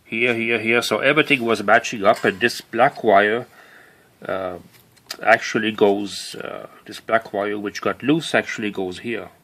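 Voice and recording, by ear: The man talks at a fairly slow pace, with a fairly low pitch and a fairly bright tone. His pitch moves in an ordinary way.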